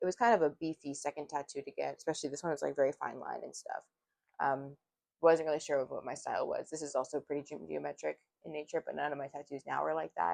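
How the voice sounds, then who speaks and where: A woman with an American accent talks at a very fast pace, recorded with a dry, close sound and no echo. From Virginia. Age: 20s. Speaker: YouTuber. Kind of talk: casual vlog talk. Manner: hesitant, many fillers.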